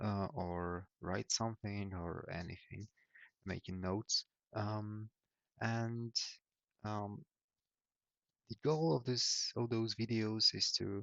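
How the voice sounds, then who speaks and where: A man with a fairly low voice speaks at a very slow pace, with ordinary pitch variation and long, frequent pauses. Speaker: YouTuber. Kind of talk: casual vlog monologue. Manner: halting, many fillers.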